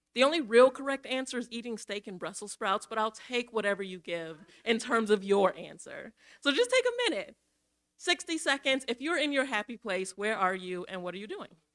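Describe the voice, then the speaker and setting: In a dry, close sound with no echo, a woman with an American accent talks at a fairly quick pace and a fairly high pitch, with lively intonation and big swings in loudness. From Minnesota, Minneapolis. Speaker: equity and inclusion director, guest speaker. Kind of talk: church forum presentation. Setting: church forum with audience. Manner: fast; casual, interactive.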